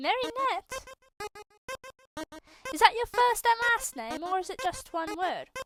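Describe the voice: In a cartoonish character voice, a woman speaks at an extremely high pitch with big pitch swings and a fairly bright tone. Her pace is fairly slow, with faint music in the background.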